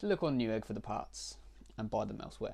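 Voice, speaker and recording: A man speaks with a British accent. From Britain. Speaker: tech YouTuber. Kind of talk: screen-recorded tutorial walkthrough. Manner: halting, many fillers.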